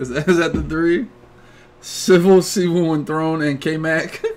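A man with an American accent speaks at a fairly slow pace. His pitch is fairly high and his tone animated. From Philadelphia, US. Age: 30s. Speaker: gaming streamer and podcast host; podcast host streamer. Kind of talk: casual chat; casual podcast chat. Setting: home streaming setup.

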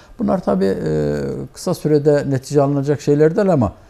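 A man's dark, mellow tone at a moderate pace. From eastern Turkey, Elazığ; Turkey. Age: 60s. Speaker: community association president and accountant; guest. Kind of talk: TV interview; interview answer. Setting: TV studio. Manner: hesitant, many filler sounds. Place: studio. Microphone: lapel.

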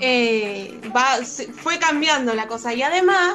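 A woman with an Argentine accent and a high-pitched voice, music playing in the background. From Comodoro Rivadavia, Argentina. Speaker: flamenco dancer and singer. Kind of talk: interview answer.

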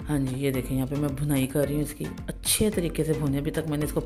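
Faint music sits in the background. The talking goes at a moderate pace. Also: woman. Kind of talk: cooking tutorial narration. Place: kitchen. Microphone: phone near.

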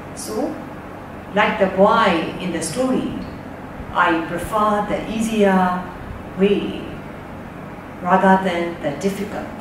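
Very slowly, a woman speaks with long, frequent pauses and ordinary pitch variation. Noticeable background noise and audible room echo are present. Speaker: reader discussing a storybook. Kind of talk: book talk, retelling and personal opinion. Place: home room.

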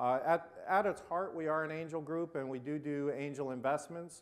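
With an American accent, a man talks in a plain, everyday voice, fairly high in pitch, with ordinary pitch variation. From US West Coast. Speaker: angel investment fund founder; conference presenter. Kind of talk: panel discussion. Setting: stage with audience. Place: hall. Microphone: lapel.

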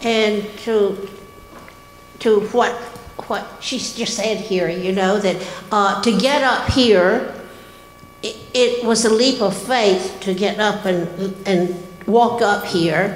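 Someone with an American accent talks at a very slow pace with ordinary pitch variation and audible room echo. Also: woman. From US South. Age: 80s+. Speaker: church member. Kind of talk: testimony. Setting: church. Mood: sincere, gentle, a little emotional. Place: church. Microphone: handheld.

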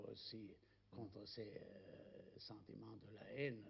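Somewhat breathy, a man speaks at a very slow pace. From Germany. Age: 80s+. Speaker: writer. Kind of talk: interview answer. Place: home room.

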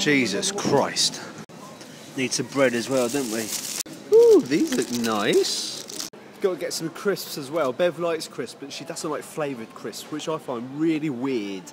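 Noticeable background noise surrounds a man speaking at a fairly slow pace. His pitch is fairly high and his intonation lively. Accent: British. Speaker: vlogger. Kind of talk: casual vlog chat. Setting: shop. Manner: animated.

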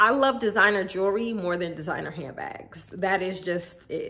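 A woman speaks at a medium pitch with a bright, sharp tone. Her pace is moderate, and her pitch varies in an ordinary way.

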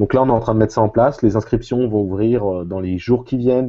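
A man speaks with a fairly low pitch and ordinary pitch variation. The background is quiet. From central France. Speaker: math teacher. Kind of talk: casual chat. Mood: relaxed, explanatory. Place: home room. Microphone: earbuds.

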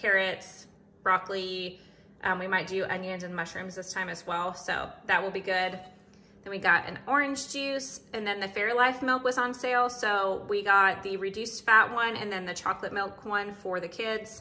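This woman speaks at a moderate pace. Her pitch varies in an ordinary way. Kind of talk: casual vlog chat. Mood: relaxed, upbeat. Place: kitchen. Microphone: phone near.

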